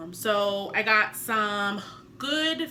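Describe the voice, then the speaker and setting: A woman's medium-pitched voice with very wide pitch swings and audible room echo. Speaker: vlogger, new public speaking club member. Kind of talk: casual vlog talk to camera. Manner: fast at sentence ends; varied pitch and emphasis.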